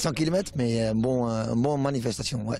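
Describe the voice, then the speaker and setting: A man talks at a fairly slow pace with medium pitch and ordinary pitch variation. Noticeable noise sits in the background. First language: Dutch (speaking French). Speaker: car enthusiast at event. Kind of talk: street interview. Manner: halting.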